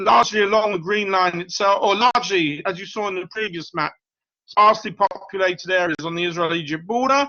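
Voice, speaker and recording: A man with a British accent talks at a fairly quick pace. His pitch is high, with ordinary variation. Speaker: professor. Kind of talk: lecture.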